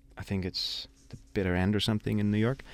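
The recording is very clean, with a silent background and a dry, close sound with no echo. A man with a German accent and a fairly low pitch talks at a fairly quick pace. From Germany. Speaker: jazz pianist and singer. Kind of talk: casual chat. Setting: studio.

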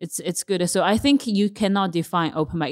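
Woman with a Chinese accent, fairly low pitch, ordinary pitch variation, and a fairly quick pace. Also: very clean recording, silent background. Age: 20s. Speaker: stand-up comedian. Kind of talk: casual chat.

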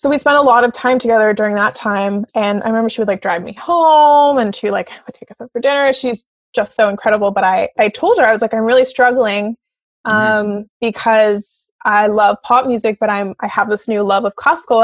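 In a Canadian accent, a woman speaks with a plain, everyday voice at a fairly high pitch and ordinary pitch variation. Her fairly quick speech has big swings in loudness, heard in a dry, close sound with no echo. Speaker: opera singer. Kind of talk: casual chat.

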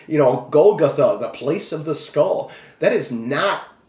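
A man with an American accent speaks at a fairly slow pace. Noticeable background noise and audible room echo are present. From Minnesota. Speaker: author and former pastor. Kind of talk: interview testimony. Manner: halting, many fillers.

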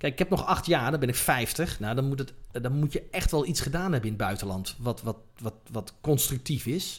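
Speaking at a moderate pace with hardly any pauses, a man with a medium pitch sounds somewhat breathy, and his intonation is lively. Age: 40s. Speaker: cinematographer. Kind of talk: interview. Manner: halting.

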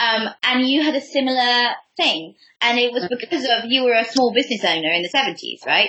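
A woman with an English accent talks at a fairly quick pace in a high pitch, her intonation lively and her loudness very even. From England. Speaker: podcast host. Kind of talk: interview.

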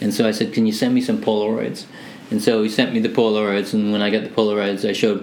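A man talks at a very fast pace with a fairly low pitch. Noticeable background noise runs behind him. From Hamilton, Ontario, Canada (born Manchester, England). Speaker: music producer. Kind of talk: casual interview chat.

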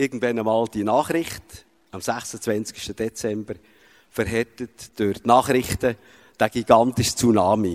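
In a dry, close sound with no echo, a man with a medium-pitched voice speaks very slowly with fairly even intonation. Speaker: father. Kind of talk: testimony. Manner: halting.

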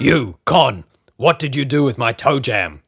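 A man puts on a character voice, raspy and at a medium pitch, talking at a moderate pace.

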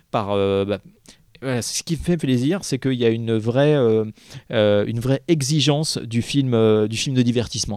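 A man at a fairly slow pace and medium pitch, with ordinary pitch variation, on a very clean recording with a silent background. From Paris. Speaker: film festival programmer. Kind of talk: casual chat.

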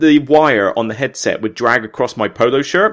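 Speaking with a Somerset accent, a man has a medium pitch and a fairly bright tone. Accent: Somerset, south-west England.

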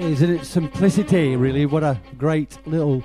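A man speaks in a relaxed, upbeat tone. Music plays in the background. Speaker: club night DJ and radio host. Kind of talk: radio DJ patter, live show banter between tracks. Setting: studio, live broadcast from a bunker. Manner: chatty, jokey, relaxed and upbeat.

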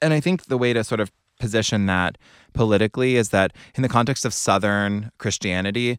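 In a very clean recording with a silent background and a dry, close sound free of echo, a man with an American accent speaks at a moderate pace with ordinary pitch variation. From US South, North Carolina (Cary, Raleigh area). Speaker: author. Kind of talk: interview conversation. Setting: studio. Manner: animated.

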